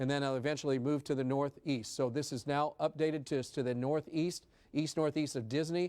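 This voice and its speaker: A man's fairly high voice with a dark, mellow tone on a very clean recording with a silent background. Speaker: TV meteorologist. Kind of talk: live severe weather coverage. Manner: fast; urgent.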